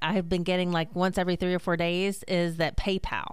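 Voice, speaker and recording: A woman speaks at a fairly quick pace in an American accent. Hers is an ordinary speaking voice, medium in pitch. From US Mid-Atlantic. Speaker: consumer protection spokesperson. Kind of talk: radio interview.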